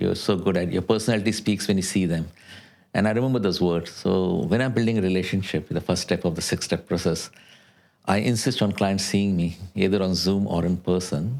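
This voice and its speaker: A man's very deep, low pitch at a fairly quick pace, with music in the background. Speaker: insurance adviser. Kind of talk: podcast interview. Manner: fast; animated.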